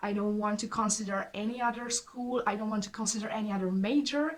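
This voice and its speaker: With a Hungarian accent and fairly even intonation, a woman speaks over noticeable background noise. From southern Hungary. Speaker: student vlogger. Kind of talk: casual storytelling vlog. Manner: halting.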